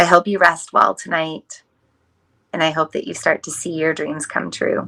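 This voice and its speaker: A woman puts on a character voice, raspy and fairly low in pitch, with a soothing tone and a moderate pace. Her loudness swings widely in a very clean recording with a silent background. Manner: soothing, calming.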